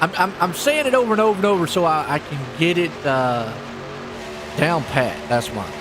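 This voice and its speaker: A man at a moderate pace with very wide pitch swings, plus audible room echo and noticeable background noise. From US South, North Carolina. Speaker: esports race commentator. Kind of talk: live commentary. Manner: animated; trips over some words.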